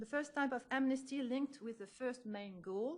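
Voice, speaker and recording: The speaker has a French accent and a moderate pace. Pitch varies in an ordinary way. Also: woman. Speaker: history professor. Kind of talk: lecture. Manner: halting.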